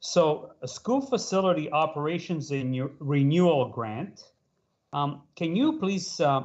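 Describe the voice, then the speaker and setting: With a plain, everyday voice, a man talks at a fairly slow pace using ordinary pitch variation. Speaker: school board trustee. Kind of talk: board meeting discussion.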